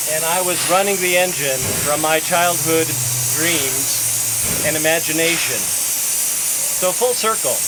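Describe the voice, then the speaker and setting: Against noticeable background noise and audible room echo, a man with a high voice speaks very slowly, using ordinary pitch variation. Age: 60s. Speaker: museum volunteer, locomotive engineer. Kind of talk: casual interview.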